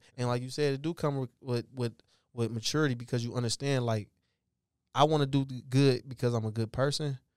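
Speaking in a normal speaking voice with an American accent, a man talks at a fairly quick pace and medium pitch with fairly even intonation, the sound dry and close with no echo on a very clean recording with a silent background. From Detroit, Michigan. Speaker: professional football player. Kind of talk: casual chat.

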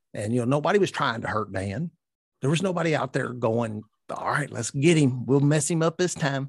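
Speaking with a Kentucky accent, a man uses a fairly high pitch, a fairly quick pace, and lively intonation in a somewhat breathy voice against a quiet background. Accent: Kentucky Southern US. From Louisville, Kentucky. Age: 50s. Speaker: recovering addict and 12-step sponsor. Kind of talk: personal testimony in interview. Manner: halting, many fillers and repetitions.

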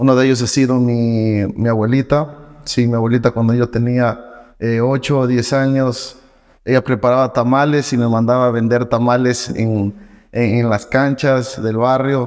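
Against a quiet background, the speaker talks at a fairly slow pace with monotone, flat intonation. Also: man, medium pitch for a man. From Ecuador, Loja. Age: 20s. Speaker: entrepreneur and trading educator. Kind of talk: podcast interview.

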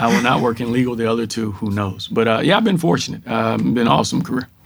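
On a very clean recording with a silent background, a man with a Texan accent talks at a medium pitch. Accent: Texan American. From rural Texas. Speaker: corporate diversity executive. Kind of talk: interview.

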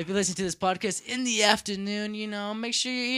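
In a raised, projected voice with a bright, sharp tone, a man with an American accent speaks at a very fast pace in a very clean recording with a silent background. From United States. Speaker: podcast host. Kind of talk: casual chat.

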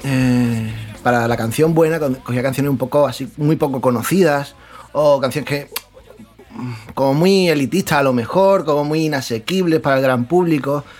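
A man talks at a moderate pace in a fairly high pitch, with ordinary pitch variation. Background noise is noticeable. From Spain, Murcia region (San Pedro). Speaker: podcast panelist. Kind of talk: casual chat.

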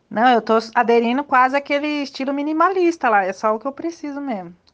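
The woman speaking has a high pitch. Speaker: old schoolmate organizing reunion. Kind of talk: casual group chat.

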